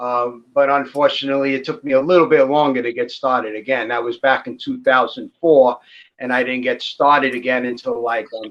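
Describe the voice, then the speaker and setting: An American man with an ordinary speaking voice talks at a moderate pace and medium pitch, his intonation fairly even. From New York City, Brooklyn. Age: 60s. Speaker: ball python breeder. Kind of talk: casual chat. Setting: live stream.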